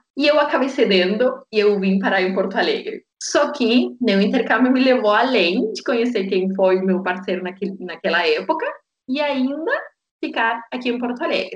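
In a Spanish accent, a woman speaks at a moderate pace with a fairly high pitch. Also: lively intonation. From Argentina, Tierra del Fuego (Patagonia). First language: Spanish (speaking Portuguese). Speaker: yoga teacher. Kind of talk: interview, personal story.

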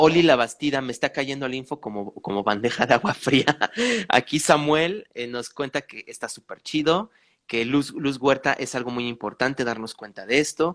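A man's normal speaking voice at medium pitch, with ordinary pitch variation, a dry, close sound with no echo, and a very clean recording over a silent background. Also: moderate pace. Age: 30s. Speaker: podcast host, spiritual coach. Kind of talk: casual chat.

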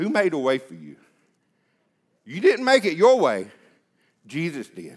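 The speaker is a man, talking at a moderate speed. His recording is very clean and the background silent. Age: 30s. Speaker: preacher. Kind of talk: sermon. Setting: church.

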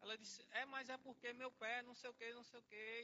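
A man's extremely high pitch with fairly even intonation. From Pernambuco, Brazil (Salgueiro). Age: 20s. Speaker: worship leader and lay preacher. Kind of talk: sermon. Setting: church service.

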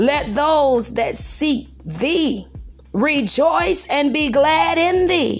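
With music in the background, a woman speaks at a very slow pace in a high pitch that makes very wide swings. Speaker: pastor. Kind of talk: fervent prayer, preaching. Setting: podcast recording. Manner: fervent, exclamatory, praise-filled; rhythmic, call-and-response preaching cadence.

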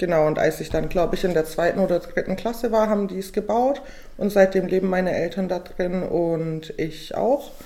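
A woman's medium-pitched, an unremarkable speaking voice, with ordinary pitch variation and a moderate pace. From Bavarian Swabia, Weißenhorn near Ulm. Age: 20s. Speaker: law student. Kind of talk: casual chat. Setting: studio table.

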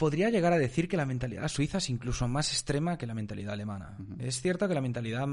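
In a quiet background, a man's speech comes at a very fast pace. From Spain. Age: 20s. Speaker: marketing agency entrepreneur. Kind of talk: casual interview chat.

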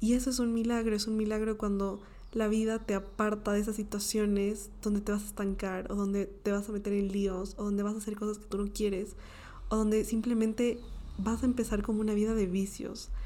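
The tone is dark and mellow, with monotone, flat intonation. Delivery moves at a fairly quick pace. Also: woman, fairly high pitch for a woman. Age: 20s. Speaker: podcast host. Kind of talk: motivational monologue.

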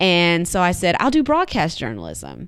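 A woman with a normal speaking voice and fairly low pitch talks at a moderate pace. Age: 30s. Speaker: podcast guest exploring career path. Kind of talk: interview conversation.

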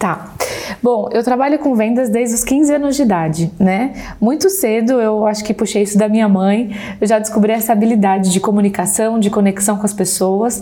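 A woman with a fairly high pitch talks at a moderate pace with very even loudness and ordinary pitch variation, over noticeable background noise. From Brazil. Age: 30s. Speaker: insurance saleswoman and sales mentor. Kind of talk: podcast interview.

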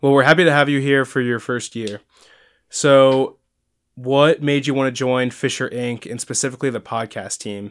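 A man with a normal speaking voice talks at medium pitch and a moderate pace, his intonation fairly even, on a very clean recording with a silent background. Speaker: student podcast host. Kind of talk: casual chat.

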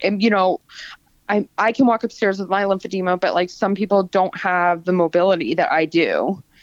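An ordinary speaking voice with an American accent, moderate pace and a dry, close sound with no echo against a quiet background. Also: woman. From South Florida. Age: 30s. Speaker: small business owner with lymphedema. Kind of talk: casual interview. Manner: casual, filler-heavy.

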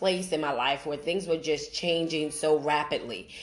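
A woman with a normal speaking voice talks in an American accent. Her pitch is fairly low, her intonation fairly even. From Brooklyn, New York. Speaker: podcast host. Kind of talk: personal testimony monologue.

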